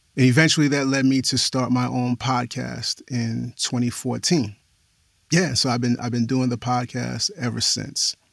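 A man talks in an ordinary speaking voice. His pitch is medium. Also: fairly even intonation, moderate pace. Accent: American. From New York City, the Bronx. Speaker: podcast host and audio description narrator. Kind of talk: interview conversation.

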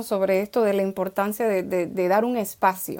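A woman at a moderate pace with ordinary pitch variation, on a very clean recording with a silent background. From Dominican Republic. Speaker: children's author and poet. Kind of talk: interview conversation.

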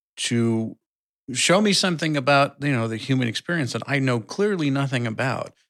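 Heard in a very clean recording with a silent background, a man with an unremarkable speaking voice talks at a fairly quick pace with ordinary pitch variation. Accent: General American. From US Midwest. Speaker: podcast co-host. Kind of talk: casual chat.

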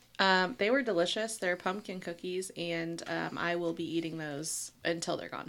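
A woman with a normal speaking voice talks at a fairly low pitch and a moderate pace, with hardly any pauses. Her pitch varies in an ordinary way, and the recording is very clean with a silent background. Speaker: podcast co-host. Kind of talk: casual chat about true crime.

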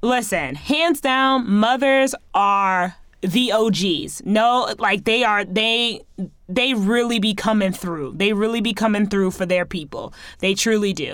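In a very clean recording with a silent background, a woman with a fairly high pitch talks at a fairly slow pace in an animated tone with lively intonation. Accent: American. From US, Haitian American family. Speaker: podcast host. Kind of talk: casual monologue.

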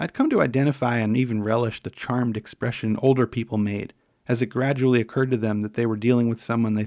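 Intonation holds fairly even. The text is read aloud in a natural voice.

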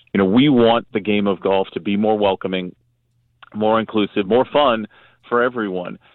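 An ordinary speaking voice, a man's at a fairly low pitch, moves at a moderate pace with fairly even intonation. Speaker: sports marketing executive. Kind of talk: radio interview. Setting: phone call.

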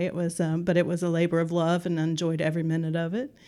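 Very fast and monotone, a woman with an American accent speaks at a fairly low pitch in a dark, mellow tone. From West Virginia, Kanawha Valley. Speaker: nonprofit executive director. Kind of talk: interview.

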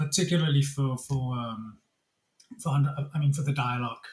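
Somewhat breathy, a man talks at a fairly high pitch. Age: 50s. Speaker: cinema technology executive. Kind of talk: casual chat. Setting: video call.

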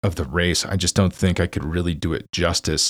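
A man with an American accent speaks in a very deep, low pitch with vocal fry, recorded dry and close with no echo. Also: very clean recording, silent background. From United States. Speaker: cycling podcast host and newsletter writer. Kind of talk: solo commentary podcast. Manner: casual, with frequent fillers.

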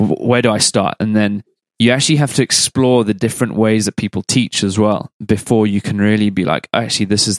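On a very clean recording with a silent background, a man in an ordinary speaking voice talks at a fairly quick pace with fairly even intonation. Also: dry, close sound with no echo. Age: 30s. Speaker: podcast host. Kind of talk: casual interview chat.

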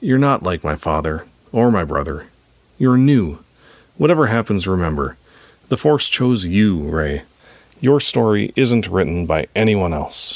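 Using a put-on character voice, a man speaks in a low pitch with big pitch swings and long, frequent pauses. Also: fairly slow pace.

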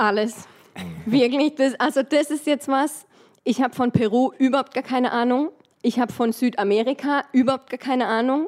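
A woman's high-pitched voice at a moderate pace with fairly even intonation, in a very clean recording over a silent background. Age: 30s. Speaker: dental technician. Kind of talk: casual chat.

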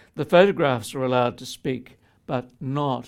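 A man talks with an Australian accent. The rise and fall of his pitch is ordinary. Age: 70s. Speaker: poet and tax lawyer. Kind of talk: speech with reading aloud. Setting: stage with audience.

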